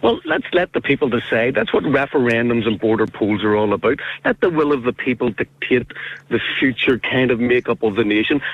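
A man with a medium-pitched voice speaks at a fairly quick pace, his loudness very even and his pitch varying in an ordinary way. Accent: Northern Irish. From Northern Ireland. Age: 50s. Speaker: caller. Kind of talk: radio phone-in. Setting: phone call.

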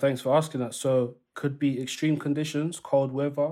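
The man's voice is fairly high-pitched and dark, mellow in tone. His intonation stays monotone and flat. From East London. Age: 30s. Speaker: grime artist and youth worker. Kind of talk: interview.

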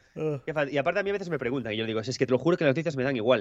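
A man talks with lively intonation. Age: 40s. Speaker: author. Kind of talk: casual chat.

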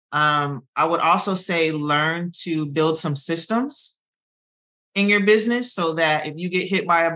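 Over a quiet background, a woman speaks with a very deep, low pitch at a fairly slow pace and ordinary pitch variation. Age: 40s. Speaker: hairstylist and hair care founder. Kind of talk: interview. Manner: halting.

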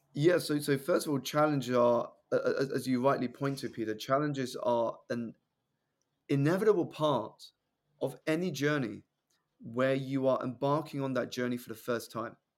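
With a southern English accent, a man speaks at a moderate pace in a fairly high voice with ordinary pitch variation. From southeast England. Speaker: personal development coach and public speaker. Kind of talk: podcast interview.

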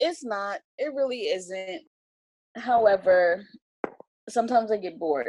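Her intonation lively and her pitch fairly high, a woman speaks with long, frequent pauses. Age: 30s. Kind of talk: casual interview chat.

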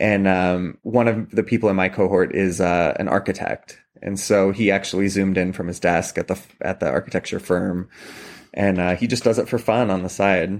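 A man's ordinary speaking voice, fairly low-pitched with fairly even intonation, at a moderate pace with an American accent. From Washington State, Columbia Valley. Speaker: oboist and wine tasting host. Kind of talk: casual interview. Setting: remote call from home kitchen.

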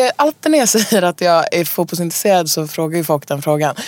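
A woman's pitch swings very widely as she talks through noticeable background noise. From Stockholm, Sweden. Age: 20s. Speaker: singer-songwriter. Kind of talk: casual interview. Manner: halting, many fillers.

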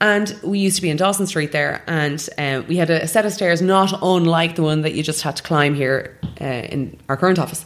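A woman talks at a fairly quick pace with hardly any pauses. Her pitch is fairly low, with ordinary variation. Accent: Irish. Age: 30s. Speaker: matchmaker. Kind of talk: interview. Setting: matchmaking office.

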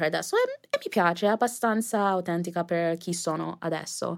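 Speaking at a moderate pace, a woman with an English accent has a fairly low pitch. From US, New Jersey, early years in Jamaica. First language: English (speaking Italian). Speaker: influencer. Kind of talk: interview. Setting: studio.

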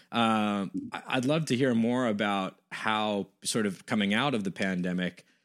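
At a moderate pace, a man with an American accent speaks in a fairly low pitch with ordinary pitch variation. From US West Coast. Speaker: podcast host. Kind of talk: casual interview conversation. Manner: hesitant, many fillers.

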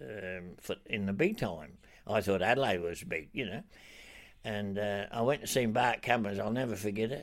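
A fairly low-pitched man with a strong Australian accent, moderate pace and ordinary pitch variation, in a very clean recording with a silent background. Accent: broad Australian. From Australia, Broken Hill. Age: 80s+. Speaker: retired racehorse trainer. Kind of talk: interview. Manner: halting.

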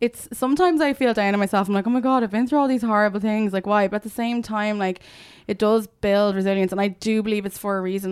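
A woman speaks very fast with an Irish accent at medium pitch and ordinary pitch variation. The recording is very clean, with a silent background. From Ireland, Dublin and Limerick. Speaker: media founder and showbiz journalist. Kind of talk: casual chat.

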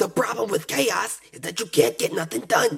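Over music in the background, a man does a raspy put-on character voice with very wide pitch swings at a moderate pace. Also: fairly high pitch for a man. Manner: gruff, dismissive.

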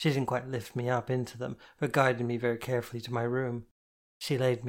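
Quiet surroundings and a natural reading voice

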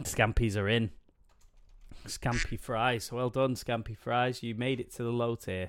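Mid-range pitch from a man, with an English accent. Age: 30s. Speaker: podcast host. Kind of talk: casual chat.

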